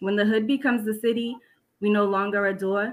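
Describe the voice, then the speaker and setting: A woman with an American accent speaks at a fairly quick pace, her medium-pitched voice following a fairly even intonation. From Boston, Massachusetts. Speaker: poet and elementary school teacher. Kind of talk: spoken word poetry reading.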